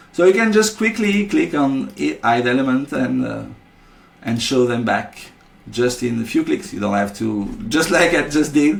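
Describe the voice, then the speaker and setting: This man's fairly high voice swings very widely in pitch as he talks at a moderate pace. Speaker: software developer presenting product features. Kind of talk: screen-recorded software tutorial. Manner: halting, many fillers and repeated words.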